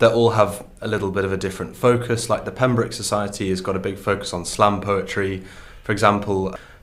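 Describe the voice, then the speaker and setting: Audible room echo follows a man speaking at a fairly quick pace with ordinary pitch variation. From northern England, County Durham. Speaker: student poet. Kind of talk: interview.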